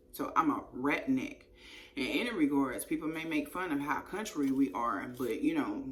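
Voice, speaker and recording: Audible room echo colors the moderately paced speech of a woman. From East Texas, raised near Shreveport, Louisiana border. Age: 30s. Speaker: YouTuber telling her life story. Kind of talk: casual storytime monologue. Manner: animated.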